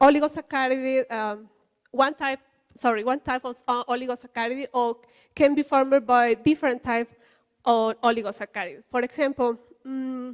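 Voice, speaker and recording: A woman with a Spanish accent and a high pitch at a moderate pace, fairly even in intonation, with a dry, close sound with no echo on a very clean recording with a silent background. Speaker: conference speaker, researcher. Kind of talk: lecture. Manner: halting, many fillers.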